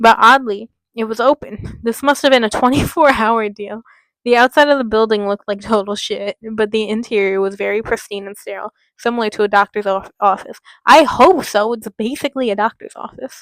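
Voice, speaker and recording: A woman talks at a fairly quick pace in a fairly high pitch, with ordinary pitch variation. The sound is dry and close, with no echo. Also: big swings in loudness. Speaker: YouTuber reading a horror story. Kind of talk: reading aloud with commentary. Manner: stumbling over words; animated.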